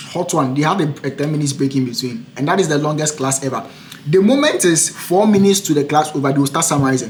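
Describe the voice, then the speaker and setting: Over noticeable background noise, a man talks at a very fast pace with a fairly high pitch and ordinary pitch variation. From Africa. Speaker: international student and podcaster. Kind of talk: casual chat.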